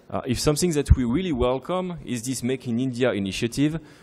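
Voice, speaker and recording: A man's medium-pitched, dark, mellow voice, fairly quick with ordinary pitch variation, on a very clean recording with a silent background. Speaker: defence company sales executive. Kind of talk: conference speech. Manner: fast.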